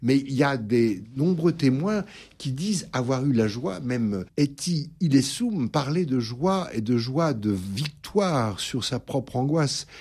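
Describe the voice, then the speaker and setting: A man speaks at a very slow pace in a somewhat breathy voice with lively intonation. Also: medium pitch for a man, very clean recording, silent background. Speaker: priest and psychoanalyst. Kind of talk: radio interview. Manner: halting, with hesitations.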